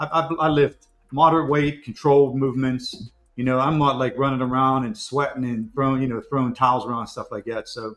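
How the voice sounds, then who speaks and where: This man has a normal speaking voice at medium pitch. He talks at a fairly quick pace with fairly even intonation. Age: 60s. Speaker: collectibles show co-host. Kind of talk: casual chat. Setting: live stream.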